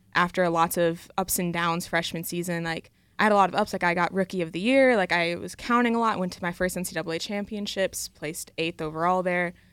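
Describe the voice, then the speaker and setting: A woman with an American accent and an unremarkable speaking voice, fairly low in pitch, fairly even in intonation and fairly quick in pace, on a very clean recording with a silent background. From Michigan (Coopersville). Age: young. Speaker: college athlete. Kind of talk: radio interview.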